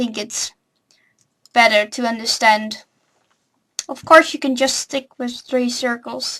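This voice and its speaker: Speaking fairly slowly with a non-native accent, a woman has a fairly high pitch and a bright, sharp tone. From non-English-speaking country. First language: not English. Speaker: drawing tutorial youtuber. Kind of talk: tutorial. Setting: home recording with webcam. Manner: hesitant, many fillers.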